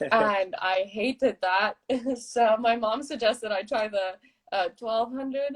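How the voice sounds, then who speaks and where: A normal speaking voice with an American accent, ordinary pitch variation and a fairly slow pace. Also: woman, fairly high pitch for a woman. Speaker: middle-distance runner. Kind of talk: casual interview chat. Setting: Instagram live video.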